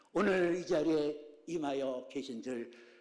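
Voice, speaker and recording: Animated in tone, a man talks with audible room echo. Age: 70s. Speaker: pastor. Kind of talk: sermon. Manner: animated, dynamic variation.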